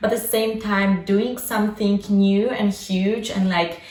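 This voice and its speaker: A woman with a Polish accent speaks at a moderate pace amid noticeable background noise and audible room echo. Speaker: lifestyle vlogger. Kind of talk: casual vlog monologue.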